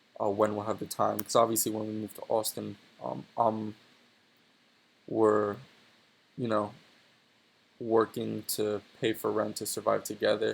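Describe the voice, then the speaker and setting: A man speaks slowly, leaving long, frequent pauses. His pitch is fairly low and his intonation fairly even. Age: 20s. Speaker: aspiring 3D modeler vlogger. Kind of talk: casual monologue while working. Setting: home recording while working on 3D model. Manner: rambling, filler-heavy casual speech.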